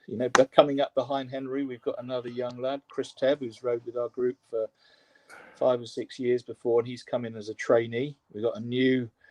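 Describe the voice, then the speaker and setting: In an English accent, a man talks at medium pitch and a fairly quick pace. His intonation is monotone and flat, with a dry, close sound and no echo. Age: 60s. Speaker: rowing coach. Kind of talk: interview. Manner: halting.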